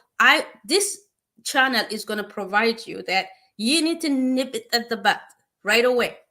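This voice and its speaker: Raised and projected, a woman's high, bright, sharp voice with a non-native accent and lively intonation comes through a very clean recording with a silent background. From East Africa (Eritrea/Ethiopia). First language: not English. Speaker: nurse practitioner. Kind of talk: informal advice talk. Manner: halting, many fillers.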